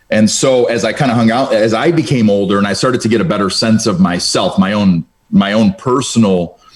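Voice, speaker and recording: A man with medium pitch and an ordinary speaking voice talks at a fairly quick pace. His intonation is lively, with hardly any pauses. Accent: American. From Cleveland, Ohio. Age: 30s. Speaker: insurance business owner. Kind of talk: casual interview.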